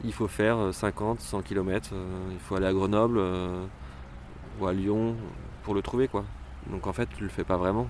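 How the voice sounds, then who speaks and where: With a very deep, low voice, a man talks at a fairly slow pace, leaving long, frequent pauses and using ordinary pitch variation. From rural France. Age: 30s. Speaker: pride march organiser. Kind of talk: interview testimony. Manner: hesitant, many fillers.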